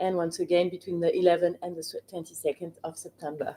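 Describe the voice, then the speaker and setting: The speaker is a woman. She has a French accent. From France. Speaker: wine expert. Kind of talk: live Q&A interview. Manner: hesitant, many fillers.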